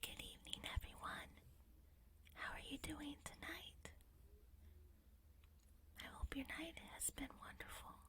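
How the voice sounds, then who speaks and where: Calm whispering in an American accent at a fairly slow pace, with long, frequent pauses. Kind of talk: soft-spoken ASMR talk to camera. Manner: soft-spoken, calm, relaxing.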